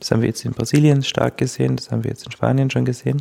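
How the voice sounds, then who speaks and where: A man speaks in a dark, mellow tone with a Styrian accent. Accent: Austrian German (Styrian). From Austria, Styria. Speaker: legal scholar, media law researcher. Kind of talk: interview, expert explanation.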